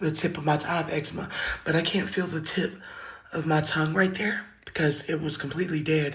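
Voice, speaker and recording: The speaker keeps a moderate pace with long, frequent pauses, and noticeable background noise is present. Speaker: singer sharing survival story. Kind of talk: testimony.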